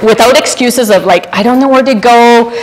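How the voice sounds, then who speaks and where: A woman speaks at a fairly quick pace with a high pitch. Background noise is noticeable. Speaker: business owner and speaker. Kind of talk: workshop talk. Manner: animated.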